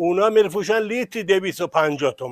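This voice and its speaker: A man at a fairly quick pace, in a dry, close sound with no echo. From Kashan region, Iran (Barzok). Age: old. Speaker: local villager, farmer. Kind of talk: casual street interview.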